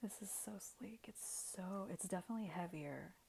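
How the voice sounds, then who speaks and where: Soft-spoken, a woman talks at a fairly slow pace. Her voice sits at a medium pitch. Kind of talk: ASMR unboxing, soft spoken talk to camera. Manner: soft-spoken, casual.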